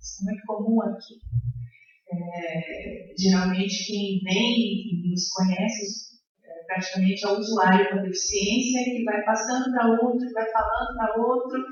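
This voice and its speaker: A woman talks at a fairly slow pace with fairly even intonation. Noticeable background noise and audible room echo fill the recording. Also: medium pitch for a woman. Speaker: education professor on a panel. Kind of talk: panel talk at academic seminar. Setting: seminar room with audience, microphone. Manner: hesitant, many fillers.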